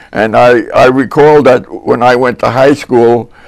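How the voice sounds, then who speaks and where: A man talks with a New Jersey accent. His pace is fairly slow. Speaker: local elder recalling history. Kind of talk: interview.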